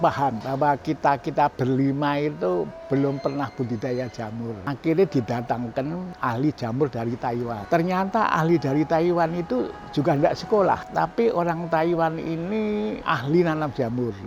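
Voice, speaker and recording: With music in the background, the speaker uses lively intonation and leaves hardly any pauses. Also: man, fairly high pitch for a man, moderate pace. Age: 80s+. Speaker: business founder. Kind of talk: interview storytelling.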